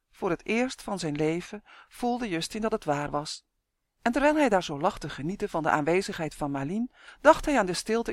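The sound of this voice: Lively intonation runs through an unforced reading voice. The background is quiet.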